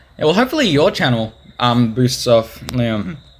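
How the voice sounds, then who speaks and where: A man's medium-pitched voice with an Australian accent and lively intonation, over noticeable background noise. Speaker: podcast host and video editor. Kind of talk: casual chat.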